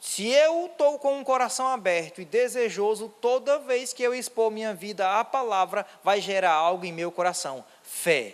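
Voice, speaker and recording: A high-voiced man with a Ceará accent speaks at a moderate pace with lively intonation. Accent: northeastern Brazilian Portuguese (cearense). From Ceará, northeast Brazil. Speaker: pastor. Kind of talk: sermon. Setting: church.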